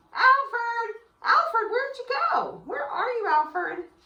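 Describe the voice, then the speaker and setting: A woman puts on a squeaky character voice, extremely high-pitched, raised and projected, with an upbeat tone at a moderate pace. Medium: read story. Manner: friendly, upbeat.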